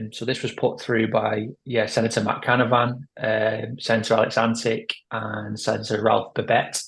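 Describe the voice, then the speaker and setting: A man with a British accent talks at a moderate pace, his voice somewhat breathy. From UK. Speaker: pro-life organisation head. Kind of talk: interview. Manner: hesitant, many fillers.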